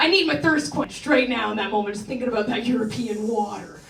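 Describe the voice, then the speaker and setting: Noticeable background noise is heard alongside a woman's voice. The room adds audible echo. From Canada, rural Ontario. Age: 30s. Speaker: stand-up comedian. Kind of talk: stand-up. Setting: stage with audience. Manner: casual, filler-heavy delivery.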